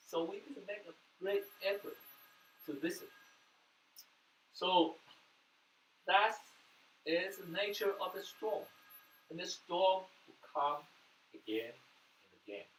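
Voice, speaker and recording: Speaking in a Taiwanese accent, a man with a high pitch moves at a fairly slow pace, with long, frequent pauses and big swings in loudness. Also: ordinary pitch variation. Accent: Taiwanese Mandarin-accented English. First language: Mandarin. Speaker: pastor. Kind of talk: sermon.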